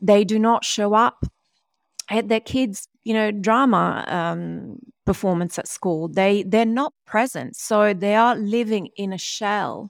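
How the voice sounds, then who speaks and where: This woman has an ordinary speaking voice, medium in pitch, with ordinary pitch variation. She speaks fairly slowly, and the sound is dry and close with no echo. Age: 40s. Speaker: DNA-based performance mentor and author. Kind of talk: interview. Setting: video call.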